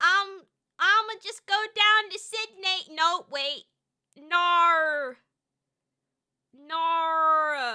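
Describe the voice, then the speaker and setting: A woman projects a raised voice at an extremely high pitch, bright and sharp in tone, with big swings in loudness and ordinary pitch variation. Her pace is very slow, with long, frequent pauses. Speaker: vtuber streamer. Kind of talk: casual chat. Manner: animated.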